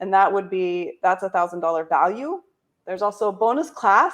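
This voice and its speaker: Over a quiet background, a woman talks at a very fast pace with a medium pitch and lively intonation. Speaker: company founder and coach. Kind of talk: sales pitch. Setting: livestream video.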